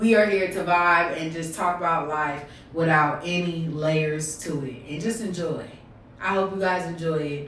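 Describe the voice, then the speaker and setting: A woman's animated voice at a fairly low pitch and moderate pace, with audible room echo and noticeable background noise. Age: 20s. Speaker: podcast host and streamer. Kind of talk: casual livestream podcast intro. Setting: live stream.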